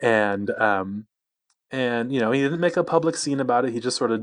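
Over a quiet background, a man with a normal speaking voice talks at a fairly quick pace and medium pitch. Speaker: weight loss blogger. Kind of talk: podcast interview.

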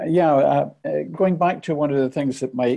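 A man speaks with a Scottish accent and a dark, mellow tone. His pitch varies in an ordinary way against a quiet background. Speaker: audience member asking questions. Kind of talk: Q&A discussion.

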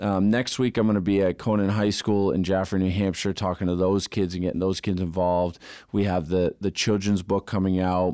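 A man speaks at a fairly quick pace with hardly any pauses, his very deep, low voice dark and mellow in tone. His intonation is monotone and flat, his loudness very even, and the recording very clean against a silent background. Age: 30s. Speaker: electrical contractor, business owner. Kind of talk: interview. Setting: studio.

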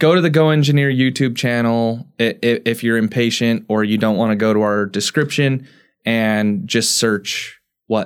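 In a very clean recording with a silent background, a man with a plain, everyday voice speaks at a moderate pace and medium pitch, showing ordinary pitch variation and very even loudness. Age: 30s. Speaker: engineering podcast co-host. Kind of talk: casual chat.

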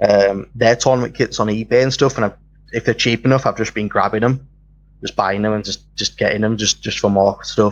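Using an ordinary speaking voice, a man at medium pitch talks at a fairly quick pace with fairly even intonation. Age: 20s. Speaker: YouTube tabletop game channel host. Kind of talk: interview.

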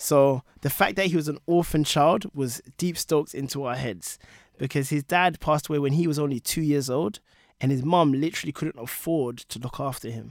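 On a very clean recording with a silent background, a man with a London accent speaks at a fairly high pitch, the sound dry and close with no echo. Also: ordinary pitch variation, moderate pace. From London, England. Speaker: product leader and author. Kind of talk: casual chat. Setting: studio.

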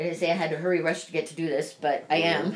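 Fairly even intonation runs through this clip. It is an unremarkable speaking voice. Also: woman. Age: 40s. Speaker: podcast host. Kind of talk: casual chat.

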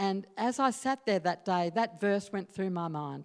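On a very clean recording with a silent background, a woman with an Australian accent talks at a fairly slow pace and medium pitch. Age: 60s. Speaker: Salvation Army officer. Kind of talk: sermon. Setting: church.

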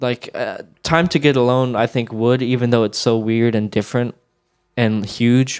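With an ordinary speaking voice, a man talks at a moderate pace using fairly even intonation. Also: medium pitch for a man. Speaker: music historian. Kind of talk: casual discussion of recording sessions.

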